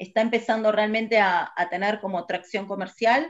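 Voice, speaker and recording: Her tone is bright and sharp. The woman speaks at a fairly high pitch. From Argentina, Buenos Aires province (Burzaco, south zone). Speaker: physicist working in satellite industry. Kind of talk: interview. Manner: hesitant with fillers.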